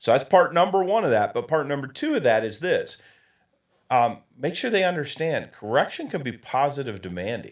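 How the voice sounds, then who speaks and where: A man with an American accent speaks in an animated tone with very wide pitch swings and vocal fry. The recording is very clean, with a silent background. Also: fairly high pitch for a man, moderate pace. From Michigan, US Midwest. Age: 60s. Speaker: coaching consultant. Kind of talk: interview.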